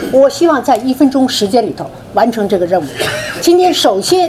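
A woman's fairly high voice with very wide pitch swings, over noticeable background noise. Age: old. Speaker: foundation board member. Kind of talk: closing remarks.

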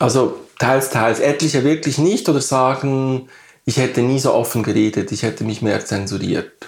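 A man speaks at a moderate pace in a medium pitch. His pitch variation is ordinary. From Switzerland, Bern area. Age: 50s. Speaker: artist. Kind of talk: interview. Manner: halting.

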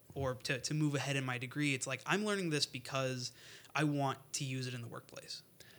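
A voice with an American accent, a bright, sharp tone and fairly even intonation comes through a very clean recording with a silent background. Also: man. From US Midwest, northwest Indiana. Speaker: engineering student. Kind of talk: interview. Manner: hesitant, many fillers.

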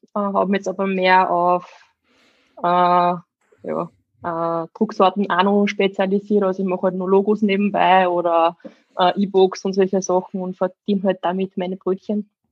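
In an Upper Austrian accent, the speaker keeps a moderate pace with long, frequent pauses. The intonation stays monotone and flat. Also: woman, medium pitch for a woman. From Upper Austria, Steyr. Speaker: fitness coach and bodybuilder. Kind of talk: casual chat.

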